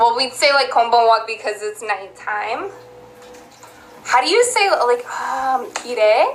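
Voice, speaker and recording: Over noticeable background noise, a woman with an American accent speaks very slowly at a high pitch with lively intonation. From US South (Georgia), Texas-influenced. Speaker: live streamer. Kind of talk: casual live stream chat.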